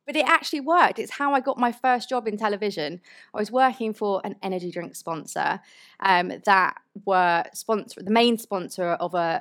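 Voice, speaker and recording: Speaking with a British accent, a woman uses a medium pitch and lively intonation at a moderate pace. The recording is very clean, with a silent background. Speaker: motorsport journalist. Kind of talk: live stage conversation with audience. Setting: stage with audience.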